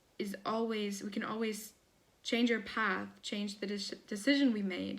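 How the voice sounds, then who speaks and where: A woman's somewhat breathy voice, fairly slow and monotone, with flat intonation. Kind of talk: casual talk to camera.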